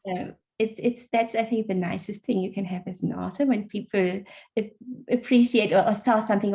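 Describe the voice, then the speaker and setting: A woman's medium-pitched, somewhat breathy voice with a German accent, dark, mellow tone, fairly even intonation and a fairly quick pace. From Germany. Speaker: author. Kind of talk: interview. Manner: halting.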